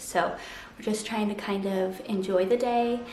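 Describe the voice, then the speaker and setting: A soft-spoken woman talks at a moderate pace with a medium pitch and ordinary pitch variation. Noticeable background noise and audible room echo are present. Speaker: sewing vlogger. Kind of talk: casual vlog tutorial. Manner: soft-spoken, talking quietly.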